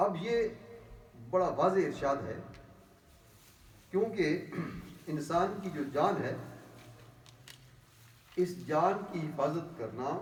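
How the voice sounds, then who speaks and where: A man's voice at a high pitch with ordinary pitch variation. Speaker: imam, religious speaker. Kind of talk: explanatory religious talk in Urdu.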